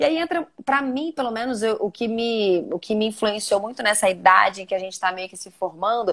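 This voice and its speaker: A woman with a plain, everyday voice and a fairly high pitch talks at a moderate pace with lively intonation and hardly any pauses. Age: 30s. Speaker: journalist and TV presenter. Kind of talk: interview conversation. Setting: live video stream. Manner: casual, many fillers.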